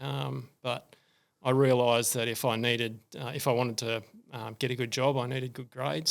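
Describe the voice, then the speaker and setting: Vocal fry from a man at a medium pitch, in a very clean recording with a silent background. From Australia, rural New South Wales (Cessnock). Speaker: retired engineer, running community founder. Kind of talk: podcast interview. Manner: casual, many filler words.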